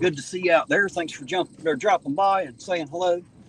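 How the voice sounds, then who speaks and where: With an American accent, a man speaks fairly quickly at a high pitch. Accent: hillbilly. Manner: friendly, welcoming.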